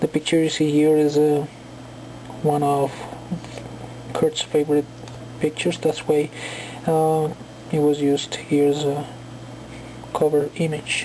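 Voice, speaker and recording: Her pitch is very deep and low for a woman. She speaks at a fairly slow pace over noticeable background noise. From Colombia. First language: Spanish. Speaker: book reviewer. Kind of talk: casual video review. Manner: halting, many fillers.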